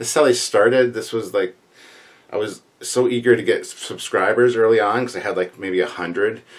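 The pace is moderate for this man. There is ordinary pitch variation. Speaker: channel host. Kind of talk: casual Q&A vlog chat. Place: home room.

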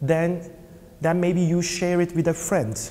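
Here a man talks with a Turkish accent. His voice is high. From Turkey. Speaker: film producer and LGBT parents' activist. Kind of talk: interview. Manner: halting. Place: hall. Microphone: lapel.

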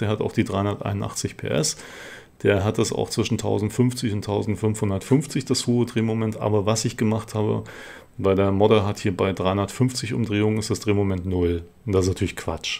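Speaking at a moderate pace, a man uses a fairly low pitch, fairly even intonation, and a dark, mellow tone. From East Germany. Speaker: gaming YouTuber. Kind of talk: let's play commentary.

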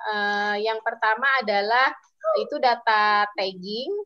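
A woman speaks with a bright, sharp tone at a fairly high pitch, her pitch varying in an ordinary way. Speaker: civil society policy advocate. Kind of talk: online webinar presentation. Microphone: weak signal connection.

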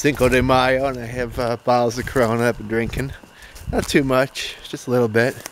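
A man's voice sounds dry with no echo, over light background noise. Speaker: camper vlogger. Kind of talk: casual vlog chat. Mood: relaxed, easygoing. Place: forest. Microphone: phone near.

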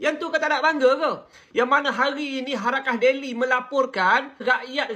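A raised, projected male voice at an extremely high pitch, bright and sharp in tone, with fairly even intonation. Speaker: political commentator. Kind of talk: political commentary monologue.

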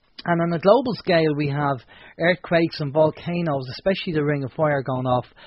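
With an Irish accent, a man speaks at a moderate pace in a fairly high pitch. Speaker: radio host. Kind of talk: radio talk show. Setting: studio.

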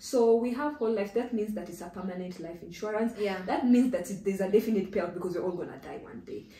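A woman talking at a very fast pace with hardly any pauses, in audible room echo. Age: 30s. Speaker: insurance risk specialist, business founder; guest. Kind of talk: interview, explaining. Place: home room.

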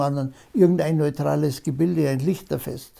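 A man with a dark, mellow tone, a moderate pace and fairly even intonation against a quiet background. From Upper Bavaria, Germany. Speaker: politician. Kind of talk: interview answer. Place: home room.

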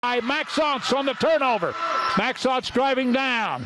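The speech moves at a moderate pace in a dry sound with no echo, with noticeable background noise. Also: man. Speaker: play-by-play announcer. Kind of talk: sports commentary. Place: hall.

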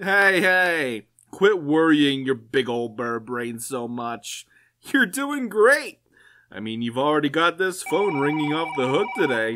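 A man puts on a character voice at a fairly high pitch and a fairly slow pace, in a very clean recording with a silent background. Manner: brash, crude.

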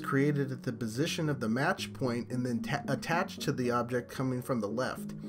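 A man speaks with music in the background. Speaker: game analysis video creator. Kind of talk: technical breakdown narration.

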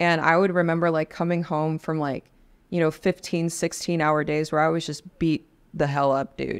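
Monotone, flat intonation at a moderate pace against a quiet background. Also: woman, fairly low pitch for a woman. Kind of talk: interview answer. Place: studio. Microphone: studio mic.

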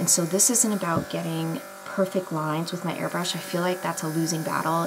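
A quiet woman at a fairly low pitch and fairly quick pace, with fairly even intonation over clear music in the background. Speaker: beauty vlogger. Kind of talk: makeup tutorial. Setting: early morning at home.

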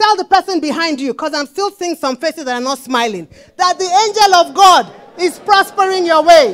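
Lively intonation comes at a fairly quick pace. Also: woman, extremely high pitch for a woman. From Nigeria (Lagos); Nigeria. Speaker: preacher. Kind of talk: sermon. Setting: church. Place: church.

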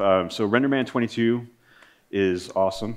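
A man speaks at a fairly quick pace with ordinary pitch variation. It is a normal speaking voice, set against a quiet background. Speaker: conference presenter. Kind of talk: technical presentation. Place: stage. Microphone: podium.

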